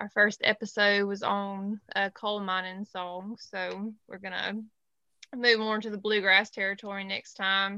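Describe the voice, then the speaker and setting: A woman with a Southern US accent speaks at a fairly slow pace and medium pitch, her tone bright and sharp but her intonation monotone and flat, with big swings in loudness. The sound is dry and close with no echo, over a quiet background. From Alabama. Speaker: music podcast host and artist manager. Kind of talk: casual panel chat.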